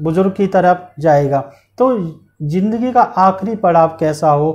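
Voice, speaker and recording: Speaking at a very slow pace, a man uses a high pitch with ordinary pitch variation. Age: young. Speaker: interview show host. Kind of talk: interview. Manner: formal. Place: studio. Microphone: lapel.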